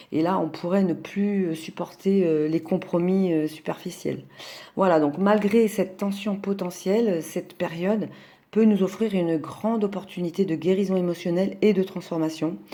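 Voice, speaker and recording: Recorded very cleanly against a silent background, a woman talks with fairly even intonation and a dark, mellow tone. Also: medium pitch for a woman, moderate pace. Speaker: astrologer. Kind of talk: astrology talk. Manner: hesitant, many fillers.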